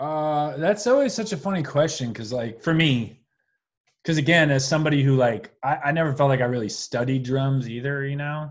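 Speaking at a fairly quick pace with an American accent, a man uses an ordinary speaking voice with ordinary pitch variation, recorded very cleanly against a silent background. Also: fairly high pitch for a man. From New York, Long Island. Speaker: drummer and musician. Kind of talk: casual interview chat.

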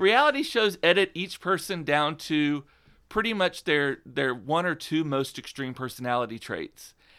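On a very clean recording with a silent background, a man with an American accent and an ordinary speaking voice talks at a moderate pace, fairly high in pitch and lively in intonation. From South Texas, Rio Grande Valley. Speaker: PR agency founder and blogger. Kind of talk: interview.

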